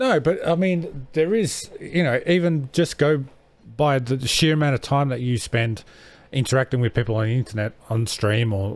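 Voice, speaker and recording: Here a man with an Australian accent talks at a moderate pace. His medium pitch carries lively intonation. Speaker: podcast host. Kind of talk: casual chat.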